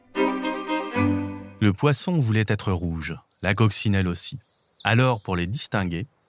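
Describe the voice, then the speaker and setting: This man's voice is pitched fairly low. He talks with lively intonation. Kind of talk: bedtime story reading aloud for young children. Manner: animated, voicing each animal character with expressive changes; warm, gentle storytelling pace.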